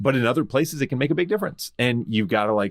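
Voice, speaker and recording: A man speaks with lively intonation and an American accent. The sound is dry and close with no echo, on a very clean recording with a silent background. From US South, Memphis. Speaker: podcast host. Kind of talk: casual interview chat.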